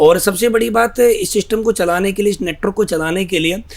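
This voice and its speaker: Over noticeable background noise, a man talks at a moderate pace, his pitch high with ordinary variation. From northern India, Greater Noida. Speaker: network marketing leader. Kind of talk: interview.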